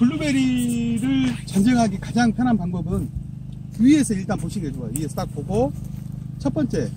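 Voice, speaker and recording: A man with a high pitch for a man swings very widely in pitch over noticeable background noise. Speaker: blueberry pruning instructor. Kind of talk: hands-on demonstration. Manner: fast.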